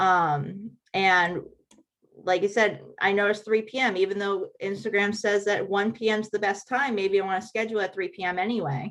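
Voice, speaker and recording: A woman with a plain, everyday voice speaks at a moderate pace, her medium pitch carrying fairly even intonation. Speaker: helpful hints presenter on social media scheduling. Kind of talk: tutorial.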